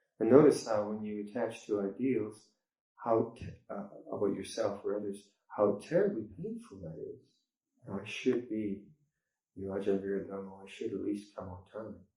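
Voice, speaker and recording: There is audible room echo as a man with a dark, mellow tone and fairly even intonation speaks with big swings in loudness and long, frequent pauses. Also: fairly low pitch for a man, moderate pace. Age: 60s. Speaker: Buddhist monk teacher. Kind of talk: dharma talk. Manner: halting.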